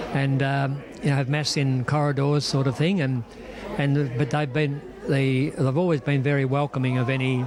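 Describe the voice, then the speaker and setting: A man with an Australian accent speaks at a moderate pace in a fairly high pitch, his intonation monotone and flat and his loudness very even. Audible room echo and noticeable background noise surround the voice. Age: 80s+. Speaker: priest. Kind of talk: interview. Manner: halting.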